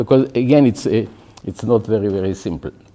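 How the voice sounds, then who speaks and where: A man is speaking. His tone is dark and mellow. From Israel. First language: Hebrew. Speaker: professor. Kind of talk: lecture. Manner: halting, with false starts.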